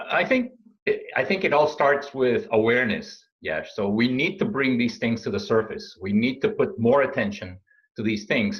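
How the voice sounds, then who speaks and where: Somewhat breathy male speech at medium pitch, moderate in pace, with very wide pitch swings. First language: not English. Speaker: supply chain consultant and speaker. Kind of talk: interview. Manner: halting, many fillers.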